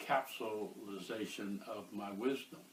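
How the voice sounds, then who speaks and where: A man with an American accent, fairly low in pitch, at a very slow pace. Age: 70s. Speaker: author and activist. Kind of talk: interview. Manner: halting, many filler uhs.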